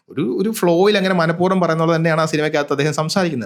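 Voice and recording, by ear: A man speaks quickly at a fairly high pitch. The recording is very clean, with a silent background.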